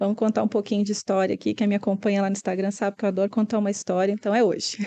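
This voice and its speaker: Over a quiet background, this voice has a dark, mellow tone and a monotone, flat intonation in a Minas Gerais accent. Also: woman. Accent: Minas Gerais (mineiro). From Brazil, Minas Gerais (Belo Horizonte). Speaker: interior designer. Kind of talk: podcast interview.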